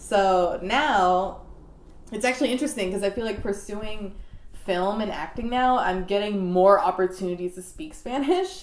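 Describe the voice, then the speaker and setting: A woman with a plain, everyday voice, medium pitch, ordinary pitch variation and a moderate pace. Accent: American. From Maryland, US. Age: 20s. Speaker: actress. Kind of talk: interview.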